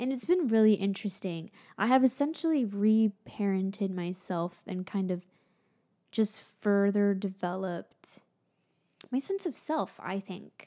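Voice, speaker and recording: Speaking at a fairly slow pace with an American accent, a woman has a dark, mellow tone and ordinary pitch variation over a quiet background. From Florida. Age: 20s. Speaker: YouTuber and musician; YouTuber. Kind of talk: vlog monologue. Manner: casual, conversational. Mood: reflective, candid. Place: home room. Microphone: studio mic.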